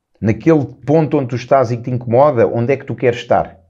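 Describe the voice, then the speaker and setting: A man's medium-pitched voice, dark and mellow in tone and somewhat breathy. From Portugal, Lisbon. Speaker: self-improvement coach, podcast host. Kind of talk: solo motivational talk.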